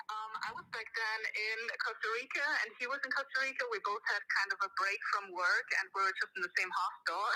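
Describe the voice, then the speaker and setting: A woman talks at a fairly quick pace with hardly any pauses while noticeable background noise carries on behind her. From Austria. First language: German. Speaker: caller. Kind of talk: casual chat. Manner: halting.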